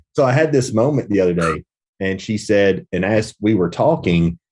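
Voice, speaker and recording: A man speaks with lively intonation at a moderate pace. His is an unremarkable speaking voice, fairly low in pitch. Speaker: podcast host and business coach. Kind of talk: casual conversation.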